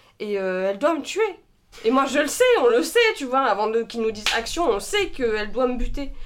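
With very wide pitch swings, a woman speaks at a high pitch. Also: moderate pace. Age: 20s. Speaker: actress. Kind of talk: casual chat with improv. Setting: studio, shared microphones.

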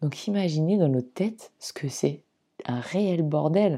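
On a very clean recording with a silent background, a woman with very deep, low pitch and a dark, mellow tone speaks with lively intonation. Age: 40s. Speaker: podcast host sharing personal story of anorexia. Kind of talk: personal testimony monologue. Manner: hesitant, many fillers.

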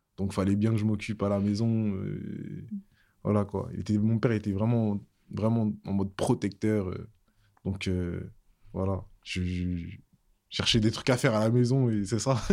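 A man with a fairly low pitch speaks at a fairly slow pace, leaving long, frequent pauses. His intonation is fairly even, and the recording is very clean with a silent background. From Paris region (Seine-et-Marne). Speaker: music producer. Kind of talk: casual interview.

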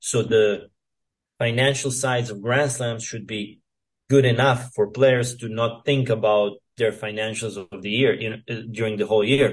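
Somewhat breathy, monotone speech from a man at medium pitch, with a Serbian accent and a moderate pace. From Serbia, near Novi Sad. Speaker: professional tennis player. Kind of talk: interview. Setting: remote call. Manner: hesitant, many fillers.

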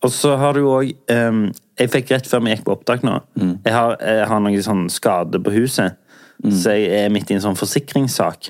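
At a fairly slow pace, a man with a fairly low pitch and ordinary pitch variation talks in a normal speaking voice. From southern Norway. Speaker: podcast host. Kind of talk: casual chat.

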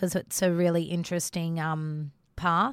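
A woman with an Australian accent talks at a fairly low pitch with fairly even intonation. The recording is very clean, with a silent background and a dry, close sound with no echo. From Australia, Northern Territory (North East Arnhem Land). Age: 30s. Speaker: teacher turned business owner. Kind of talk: casual interview chat.

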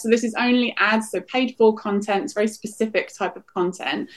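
A woman with a normal speaking voice and a fairly high pitch at a fairly quick pace. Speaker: professor of digital politics. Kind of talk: expert interview.

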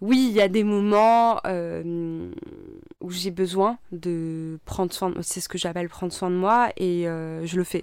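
Very slowly but with hardly any pauses, a woman speaks at medium pitch with fairly even intonation. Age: 30s. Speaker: environmental activist and former engineer. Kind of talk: personal testimony interview. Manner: hesitant, many fillers.

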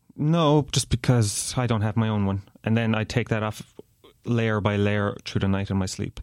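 This man has a Kerry accent and a fairly low pitch with ordinary pitch variation. He talks at a moderate pace. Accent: Irish (Kerry). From Ireland, Tralee, County Kerry. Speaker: podcast guest. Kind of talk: casual chat.

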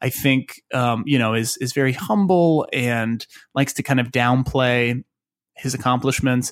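A man's ordinary speaking voice with an American accent, medium pitch and moderate pace, on a very clean recording with a silent background. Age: 30s. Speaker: writer and actor. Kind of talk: casual chat.

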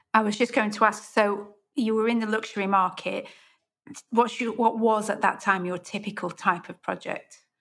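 A woman with a British accent and a fairly high pitch speaks at a moderate pace with fairly even intonation but big swings in loudness. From UK. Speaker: podcast host and interior designer. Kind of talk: interview.

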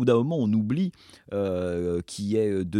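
A man speaks at a fairly slow pace with a dark, mellow tone. The sound is dry and close, with no echo. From France. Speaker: film director and former critic. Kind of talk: interview. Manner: halting.

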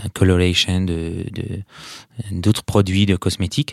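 Recorded very cleanly against a silent background, a man with a very deep, low voice speaks in a flat monotone with a dry, close sound and no echo. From Syria, Aleppo. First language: Arabic (speaking French). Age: 30s. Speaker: perfumer, political refugee. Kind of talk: interview. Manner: halting, many repetitions and hesitations.

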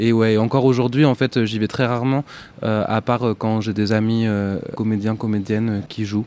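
A man's medium-pitched voice, dark and mellow in tone, at a moderate pace with monotone, flat intonation. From northern France, rural Picardy. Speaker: singer-songwriter. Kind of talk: casual interview. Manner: hesitant, many fillers.

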